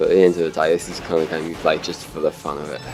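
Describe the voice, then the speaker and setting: A man speaks at a very deep, low pitch in a monotone, flat intonation. Music plays in the background. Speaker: gaming video commentator. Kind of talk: gameplay commentary. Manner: casual, hesitant.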